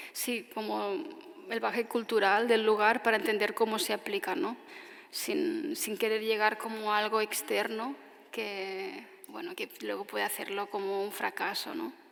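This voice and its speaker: With noticeable background noise behind her, a woman's fairly slow speech has lively intonation. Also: fairly high pitch for a woman. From Tarragona, Catalonia, Spain. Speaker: architect giving a lecture. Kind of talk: audience Q&A answer after lecture.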